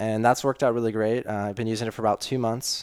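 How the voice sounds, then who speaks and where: A man speaks in a fairly low, monotone voice with flat intonation. The recording is very clean and dry, close with no echo and a silent background. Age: 20s. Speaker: short-term rental host and engineer. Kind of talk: interview. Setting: in person, sitting across a table. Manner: hesitant, many fillers.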